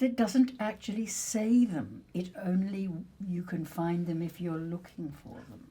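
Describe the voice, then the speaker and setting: Lively in intonation, a woman talks at a fairly slow pace in a medium pitch, her loudness swinging widely. Her tone is dark and mellow, and somewhat breathy. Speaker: actress. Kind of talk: conversational discussion.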